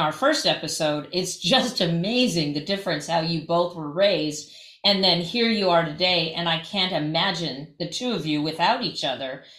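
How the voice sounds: An ordinary speaking voice from a woman, fairly low in pitch, with lively intonation at a moderate pace.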